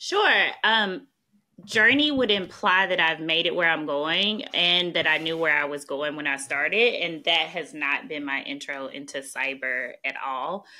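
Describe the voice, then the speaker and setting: The voice has a Southern US accent and a bright, sharp tone. Its pace is fairly slow, with lively intonation. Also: woman, fairly low pitch for a woman. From US South, small-town Mississippi. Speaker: national security policy expert. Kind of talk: podcast interview.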